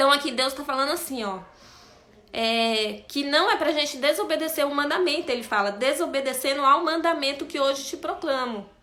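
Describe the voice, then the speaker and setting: Her voice is raised and projected, with a high pitch and ordinary pitch variation. The woman keeps a moderate pace, and audible room echo surrounds her. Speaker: bible study teacher. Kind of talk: bible study lesson.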